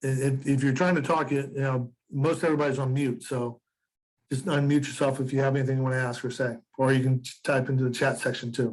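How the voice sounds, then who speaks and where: A somewhat breathy man speaks at a very fast pace with a medium pitch. His intonation is monotone and flat. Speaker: real estate instructor. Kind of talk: lecture. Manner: halting.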